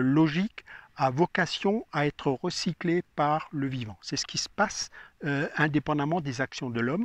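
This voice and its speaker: A man talks at a very slow pace with a fairly high pitch and ordinary pitch variation. The sound is dry and close with no echo, and the background is quiet. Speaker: gardening expert. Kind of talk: casual interview.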